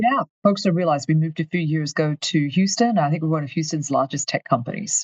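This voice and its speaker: Very deep and low in pitch, a woman talks at a very fast pace with hardly any pauses. Her voice is somewhat breathy, and her pitch varies in an ordinary way. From Australia, far north Queensland. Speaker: company finance executive. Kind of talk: interview.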